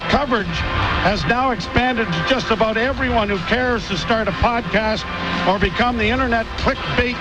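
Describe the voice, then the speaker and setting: Against noticeable background noise, a man with a high pitch raises and projects his voice, speaking at a moderate pace with ordinary pitch variation. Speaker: radio play-by-play announcer. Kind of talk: farewell speech on radio broadcast. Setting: press box broadcast booth.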